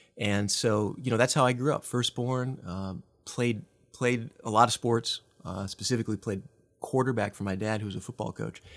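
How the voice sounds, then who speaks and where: A man with a Midwestern American accent speaks at medium pitch and a moderate pace. His intonation is fairly even, and the recording is very clean with a silent background. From US Midwest. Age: 40s. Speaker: nonprofit leader. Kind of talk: casual interview. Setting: studio.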